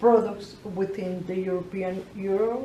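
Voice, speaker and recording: A woman speaks at a medium pitch with fairly even intonation and a very slow pace. Audible room echo surrounds her voice. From Colombia. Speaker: entrepreneur. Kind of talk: interview. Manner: halting, many repetitions.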